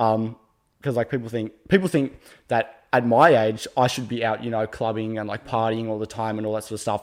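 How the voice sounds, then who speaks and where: A fairly quick pace with fairly even intonation, on a very clean recording with a silent background. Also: man, medium pitch for a man. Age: young. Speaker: podcast guest. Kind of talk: casual interview chat. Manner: halting, many fillers.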